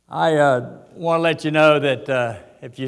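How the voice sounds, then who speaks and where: A man talks with an Appalachian accent at a fairly high pitch, his intonation fairly even. Audible room echo surrounds his voice. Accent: Appalachian Southern US. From US South (West Virginia coal country). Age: 80s+. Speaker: boxing veteran. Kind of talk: keynote speech. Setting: stage with audience. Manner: halting.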